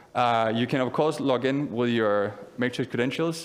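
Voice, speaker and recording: Audible room echo surrounds a man's voice. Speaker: conference speaker. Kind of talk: conference talk with live demo. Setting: stage with audience. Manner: fast.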